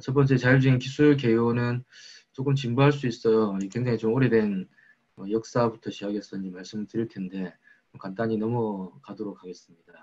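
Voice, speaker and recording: A man speaks at medium pitch and a fairly quick pace. His intonation stays fairly even while his loudness swings widely. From South Korea, Busan. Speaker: research lab director. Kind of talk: lecture. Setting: online lecture.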